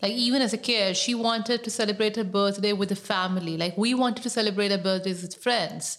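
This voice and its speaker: Hardly pausing, a woman speaks at a very fast pace at medium pitch with fairly even intonation, over noticeable background noise. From Pakistan. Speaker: writer and activist. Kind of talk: personal storytelling interview.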